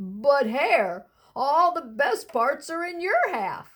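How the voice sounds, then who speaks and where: A woman puts on a character voice, high in pitch with very wide swings. She talks at a very slow pace. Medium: read story. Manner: slow, drowsy, grumbling.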